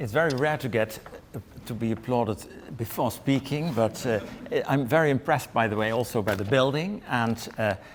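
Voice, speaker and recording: Speaking at a moderate pace in a Dutch accent, a man keeps a medium pitch with ordinary pitch variation over noticeable background noise. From Netherlands. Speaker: history professor. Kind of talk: lecture. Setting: lecture room with audience. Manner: reading from text.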